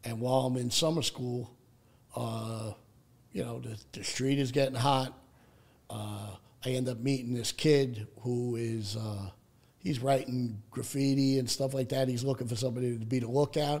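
A man speaks at a moderate pace with a New York accent. His pitch is medium and his intonation fairly even. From Staten Island, New York City. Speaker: person in addiction recovery. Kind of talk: personal recovery story in interview.

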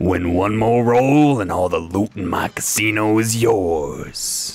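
A booming put-on character voice from a man. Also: fairly low pitch for a man, fairly slow pace.

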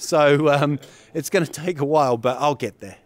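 A man speaks in a dry sound with no echo at all. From New Zealand. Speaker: comedian. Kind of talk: interview.

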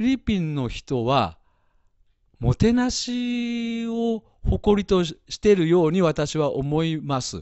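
Here a man speaks at a high pitch with very wide pitch swings. His pace is fairly slow. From Japan, Nagoya. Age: 50s. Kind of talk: live-stream interview.

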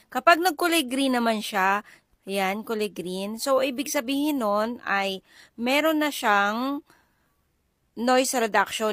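Fairly slow delivery with ordinary pitch variation on a very clean recording against a silent background. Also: woman. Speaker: content creator. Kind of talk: product review vlog. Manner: casual, chatty.

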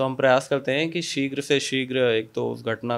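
A man talks at a moderate pace with fairly even intonation, an ordinary speaking voice. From India, Kanpur, Uttar Pradesh; Uttar Pradesh, India. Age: 20s. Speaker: police officer. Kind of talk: interview. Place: office. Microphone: handheld.

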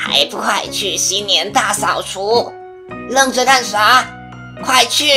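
Over clear music in the background, a female-sounding voice performs a put-on character voice. It sits at a fairly high pitch and moves at a fairly slow pace. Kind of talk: comedic audio drama skit. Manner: scolding, impatient.

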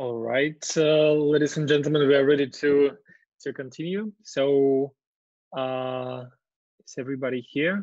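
A man speaks at a fairly slow pace with fairly even intonation and a fairly high pitch. The background is quiet. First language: Russian. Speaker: webinar host and moderator; webinar host, moderator. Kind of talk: webinar moderation. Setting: video call. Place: home room. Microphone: video call.

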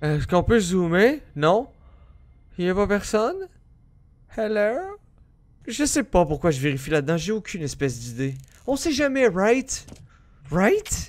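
Over a quiet background, a man with a high pitch talks at a fairly slow pace, his pitch swinging very widely and his pauses long and frequent. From Quebec. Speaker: gaming youtuber. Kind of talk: let's play commentary. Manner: animated. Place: home room. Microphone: headset.

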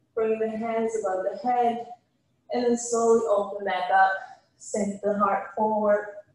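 Audible room echo surrounds this woman's voice. Her pitch is fairly high and her intonation fairly even. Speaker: yoga instructor. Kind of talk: guided yoga class, calm spoken cues. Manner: calm, slow, soothing, even-paced instruction. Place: gym.

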